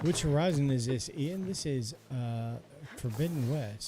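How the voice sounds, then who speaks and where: A man talks at a moderate pace in a fairly high, somewhat breathy voice. His tone is calm and relaxed, with lively intonation. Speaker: gaming streamer. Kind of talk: live stream commentary with chat. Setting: live stream. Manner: calm, relaxed pace.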